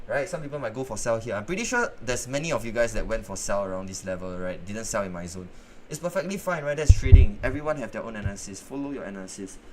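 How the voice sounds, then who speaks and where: Amid noticeable background noise, a man with a medium pitch rushes along at a very fast pace with hardly any pauses, very wide pitch swings and big swings in loudness. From northeast China. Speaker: forex trading streamer. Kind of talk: live trading stream. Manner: casual, conversational.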